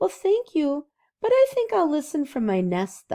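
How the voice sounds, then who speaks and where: A woman uses a put-on character voice, high in pitch with very wide pitch swings. She keeps a moderate pace. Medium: read story. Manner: shy, soft-spoken.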